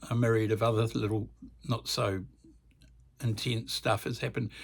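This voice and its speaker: A man with a New Zealand accent in a very clean recording with a silent background. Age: 70s. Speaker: music channel host. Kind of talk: casual vlog monologue. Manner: halting, many fillers.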